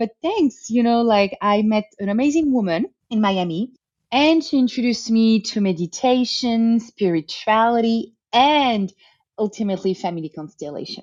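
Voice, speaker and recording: A woman with a French accent, fairly high pitch, lively intonation and a moderate pace. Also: quiet background. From France. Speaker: family constellation therapist. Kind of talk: interview.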